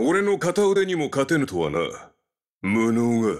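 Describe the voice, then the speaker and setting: Using a put-on character voice, a man talks at a fairly slow pace and a fairly high pitch with very wide pitch swings, on a very clean recording with a silent background. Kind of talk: video game character voice lines. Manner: menacing, domineering.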